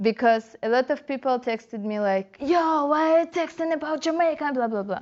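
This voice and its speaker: Spoken with a Russian accent, the delivery has lively intonation, a moderate pace and hardly any pauses. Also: woman, high pitch for a woman. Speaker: dancehall dancer and blogger. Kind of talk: interview.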